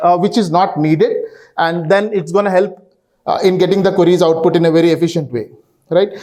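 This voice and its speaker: Fairly fast speech from a man carries audible room echo. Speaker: database consultant. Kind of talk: conference talk. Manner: halting, many fillers.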